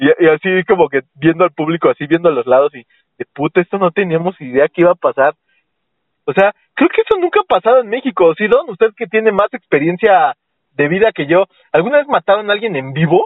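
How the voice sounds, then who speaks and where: A man speaks in a Mexican accent at a fairly quick pace. His high pitch rises and falls with lively intonation. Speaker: podcast host. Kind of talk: casual comedic chat.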